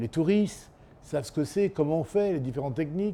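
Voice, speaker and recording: A man's fairly high-pitched voice, dark and mellow in tone, at a moderate pace with lively intonation. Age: 60s. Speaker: chef. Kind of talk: interview. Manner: halting.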